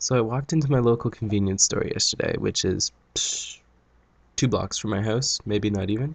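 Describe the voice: Nasal, with vocal fry, a man talks at a moderate pace and fairly low pitch with ordinary pitch variation.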